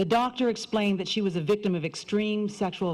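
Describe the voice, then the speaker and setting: A serious-toned voice speaks at a fairly quick pace over a quiet background. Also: woman. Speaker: news anchor. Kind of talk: commencement speech. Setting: live stage address to an audience. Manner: serious, emotional storytelling.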